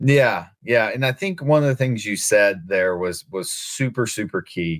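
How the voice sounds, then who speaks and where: Lively intonation in a slight Southern US accent, on a very clean recording with a silent background. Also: man. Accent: slight Southern twang. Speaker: podcast host. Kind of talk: casual interview chat.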